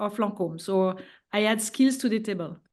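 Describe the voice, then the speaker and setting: With a French accent and fairly even intonation, a woman speaks at a fairly high pitch and a moderate pace against a quiet background. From France. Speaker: venture investor. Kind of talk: panel discussion. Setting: online webinar. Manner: hesitant, many fillers.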